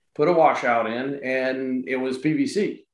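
A man with a Southern US accent and ordinary pitch variation. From South Carolina, Florence. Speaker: real estate investor. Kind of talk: casual interview. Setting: remote recording.

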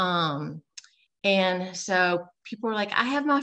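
Her bright, sharp tone and lively intonation mark a woman speaking at medium pitch. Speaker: registered nurse and health coach. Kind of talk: podcast interview.

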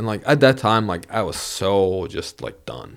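A man with a Bosnian accent is heard in a very clean recording with a silent background. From Vermont (raised), born in Bosnia. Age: 30s. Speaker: banker. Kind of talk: casual interview. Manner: animated.

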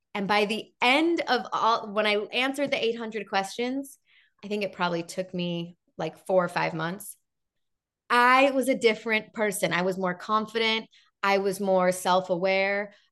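A woman with an unremarkable speaking voice, medium pitch, ordinary pitch variation and a moderate pace, against a quiet background. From Chicago, US Midwest. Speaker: television host and interviewer. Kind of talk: interview guest, casual chat.

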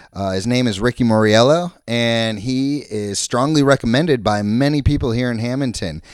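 With an American accent and a normal speaking voice, a man talks at a moderate pace in a medium pitch with lively intonation, recorded very cleanly against a silent background. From Florida. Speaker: podcast host. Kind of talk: scripted intro; casual chat.

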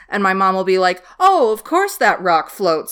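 With an unremarkable speaking voice, a woman talks at a medium pitch and a fairly quick pace, her intonation lively. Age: 20s. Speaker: podcast host. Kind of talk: casual chat.

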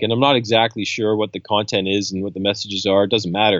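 The speech comes at a very fast pace with a slight Canadian accent. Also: man. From Canada. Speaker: coastal scientist and professor. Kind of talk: casual interview. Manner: relaxed, hesitant with fillers.

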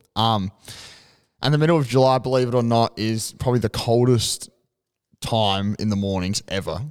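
A man with an Australian accent, ordinary pitch variation and long, frequent pauses. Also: medium pitch for a man, moderate pace. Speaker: podcast co-host. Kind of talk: casual chat.

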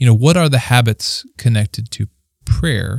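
A man's somewhat breathy voice. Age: 30s. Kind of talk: casual faith discussion.

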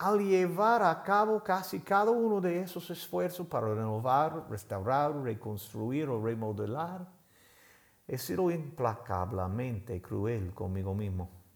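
At a very slow pace, a man with a medium-pitched voice makes very wide pitch swings on a very clean recording with a silent background. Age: 50s. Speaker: pastor. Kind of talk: sermon.

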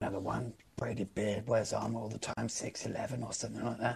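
A man's put-on character voice, raspy and medium-pitched, monotone and flat, at a moderate pace. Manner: chatty, know-it-all.

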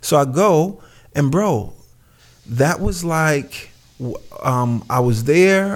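Speaking with a New York accent, a man uses a fairly high pitch and lively intonation. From Brooklyn, New York. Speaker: clothing designer. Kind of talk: casual chat. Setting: remote call.

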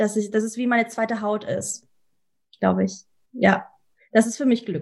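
A woman's somewhat breathy, fairly high voice at a moderate pace, broken by long, frequent pauses. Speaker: soul singer. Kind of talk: casual interview. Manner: halting, many fillers; lively, energetic.

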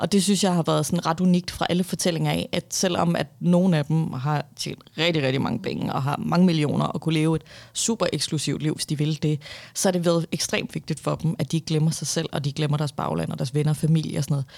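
With vocal fry, a woman speaks in a very deep, low pitch. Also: ordinary pitch variation. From Denmark, Viborg then Copenhagen western suburbs. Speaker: author. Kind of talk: interview.

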